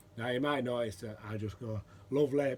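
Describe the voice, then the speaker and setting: This man's somewhat breathy voice sits at a medium pitch, with fairly even intonation and a moderate pace. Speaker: pipe maker and pipe smoking vlogger. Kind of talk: casual vlog chat.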